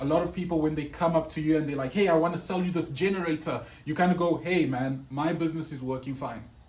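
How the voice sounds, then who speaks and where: In an ordinary speaking voice, the speaker moves at a fairly quick pace with ordinary pitch variation. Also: man. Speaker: web designer. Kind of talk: tutorial.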